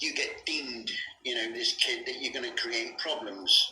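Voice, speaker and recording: A man with a Bristol accent at a moderate pace, against noticeable background noise. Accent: Bristol West Country. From West Country England, Bristol. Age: 50s. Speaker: abuse survivor. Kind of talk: testimony. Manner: halting, many fillers.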